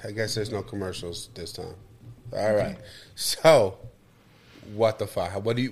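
A man speaks at a medium pitch and a fairly slow pace, his voice somewhat breathy. The recording is very clean, with a silent background. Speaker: podcast co-host. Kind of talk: casual chat. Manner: animated.

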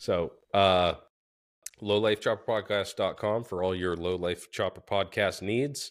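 A man with an unremarkable speaking voice talks at a fairly slow pace, his fairly low pitch moving with ordinary variation, in a very clean recording with a silent background. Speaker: motorcycle podcast co-host. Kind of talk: casual chat.

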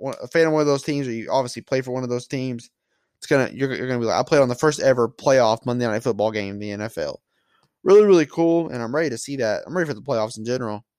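Speaking very fast, a man with a medium-pitched voice and ordinary pitch variation comes through on a very clean recording with a silent background. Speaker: solo sports podcast host. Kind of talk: casual solo sports talk. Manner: mumbling at times; casual, conversational.

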